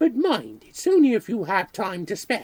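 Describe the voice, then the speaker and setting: A man performs a put-on character voice, pitched high and swinging very widely up and down. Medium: read story. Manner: polite, hesitant, fussy.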